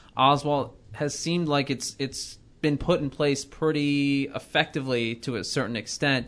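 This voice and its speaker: Against a quiet background, a man with a fairly high pitch talks at a moderate pace in a normal speaking voice. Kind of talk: studio sports-talk panel show, not live play-by-play; analytical. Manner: fluent, upbeat host-style banter; steady, informative, lightly joking.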